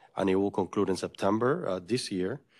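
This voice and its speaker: Against a quiet background, a man speaks at a fairly quick pace with a fairly low pitch and fairly even intonation. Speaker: college vice president; presenter. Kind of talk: staff meeting update. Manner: halting. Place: meeting room. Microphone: podium.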